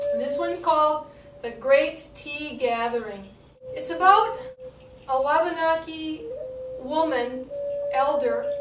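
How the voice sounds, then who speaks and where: A woman with a high voice speaks very slowly in a lively, up-and-down way while music plays in the background. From Northeastern North America, Wabanaki. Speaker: storyteller. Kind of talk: traditional story telling.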